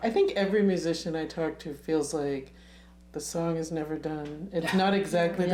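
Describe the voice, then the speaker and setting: A woman with a fairly low voice can be heard through noticeable background noise. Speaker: talk show host. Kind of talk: interview questions.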